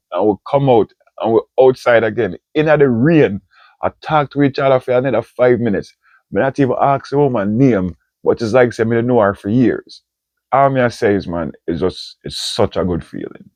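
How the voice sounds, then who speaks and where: A man speaks with a Jamaican accent. His pace is moderate and his pitch varies in an ordinary way. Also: medium pitch for a man. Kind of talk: casual talk to camera.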